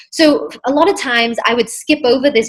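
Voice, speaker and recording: Against noticeable background noise, a woman with an American accent speaks at a moderate pace, her pitch high and her pitch variation ordinary. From England, then US from age 11. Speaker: mindset coach. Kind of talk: podcast interview.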